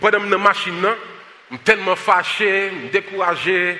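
Raising and projecting his high-pitched voice, a man speaks at a fairly slow pace over noticeable background noise. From United States. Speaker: pastor and social justice activist. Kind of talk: sermon. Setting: church service with congregation, also streamed online.

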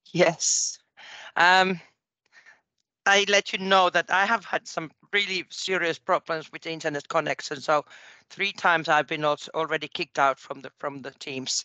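A woman with a Finnish accent speaks at a fairly low pitch in a bright, sharp tone. The background is quiet, and the sound is dry and close with no echo. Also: ordinary pitch variation, moderate pace. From Finland. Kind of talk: casual chat. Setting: phone call.

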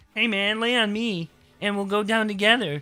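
Fairly high pitch and moderate pace in a put-on character voice. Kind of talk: casual. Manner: silly, exaggerated.

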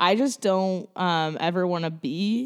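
A woman talks in an ordinary speaking voice. Her pitch is fairly low, with ordinary pitch variation. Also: very clean recording, silent background. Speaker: guest. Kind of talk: casual chat.

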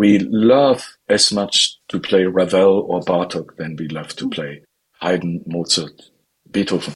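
A man with a German accent speaks at a very slow pace. His pitch is very deep and low. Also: ordinary pitch variation. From northern Germany. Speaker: classical violinist. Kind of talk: interview.

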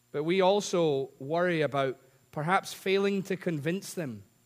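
A man with a Scottish accent speaks in a high voice with lively intonation. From Scotland. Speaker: preacher. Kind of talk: sermon. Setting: church. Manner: humorous.

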